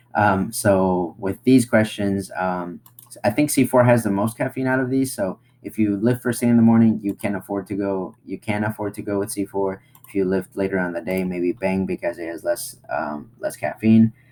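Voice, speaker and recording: A man with a fairly low pitch and a non-native accent, at a moderate pace with ordinary pitch variation. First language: not English. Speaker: online marketing tutorial creator. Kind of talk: screen-share tutorial. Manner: casual, halting with fillers. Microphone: webcam.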